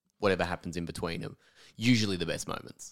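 A man with a very deep, low pitch and an Australian accent speaks at a very fast pace in a very clean recording with a silent background. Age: 30s. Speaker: comedian and podcast host. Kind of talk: interview.

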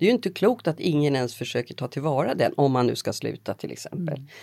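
A woman speaks at a fairly quick pace with a very deep, low pitch, a dark, mellow tone, vocal fry and lively intonation, on a very clean recording with a silent background. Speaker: journalist and podcast host. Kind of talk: interview conversation.

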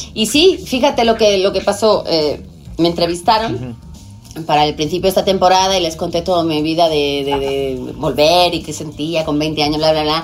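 A woman with a Spanish accent at a fairly low pitch, lively intonation, a moderate pace, and music playing behind her. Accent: Spanish accent with ceceo. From Spain. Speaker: TV presenter. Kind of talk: casual chat.

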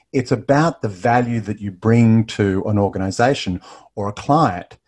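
With an Australian accent, a man speaks at a moderate pace. His pitch is medium, with ordinary variation. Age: 50s. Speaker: business referral trainer. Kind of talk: interview.

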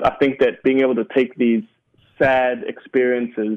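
This is a man with a New Zealand accent. His pitch sits in the medium range. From New Zealand, Sudanese roots. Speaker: stand-up comedian. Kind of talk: interview.

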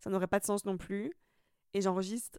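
In a very clean recording with a silent background, a woman's voice comes through at a medium pitch. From Italy. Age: 20s. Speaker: podcaster. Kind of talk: casual monologue. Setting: recording at home. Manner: casual, with frequent fillers.

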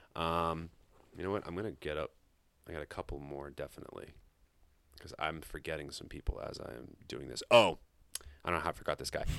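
A very fast, animated delivery in an American accent, with vocal fry, ordinary pitch variation, big swings in loudness and long, frequent pauses. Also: man, very deep, low pitch for a man. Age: 20s. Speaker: high school teacher, basketball coach and music podcaster. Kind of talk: casual chat.

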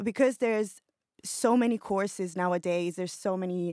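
A woman with an Italian accent speaks at a moderate pace and medium pitch, her intonation fairly even, in a very clean, silent recording with a dry, close sound and no echo. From Italy, Milan. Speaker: creative director. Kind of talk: audience question. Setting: studio.

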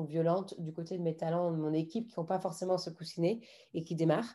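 A woman with a fairly low pitch and a dark, mellow tone speaks with fairly even intonation. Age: 30s. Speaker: art agency founder. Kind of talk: interview conversation. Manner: halting.

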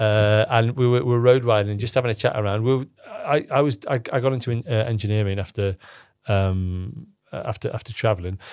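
The speaker has a Cumbrian accent and a fairly quick pace. Pitch varies in an ordinary way. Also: man, medium pitch for a man. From northern England, Cumbria (Lake District). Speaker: startup founder and CEO. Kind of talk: casual interview conversation. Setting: studio. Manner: halting, many repetitions and fillers.

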